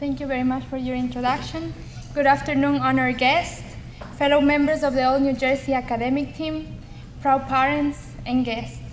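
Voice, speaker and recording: There is audible room echo and noticeable background noise as a woman talks at a moderate pace. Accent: strong Ecuadorian. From Ecuador. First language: Spanish. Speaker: community college student. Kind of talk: speech. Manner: formal.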